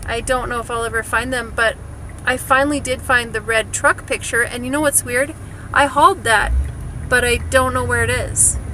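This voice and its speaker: A woman with an American accent at a moderate pace, amid noticeable background noise. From Wisconsin. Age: 40s. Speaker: vlogger. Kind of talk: casual vlog chat. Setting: in a car.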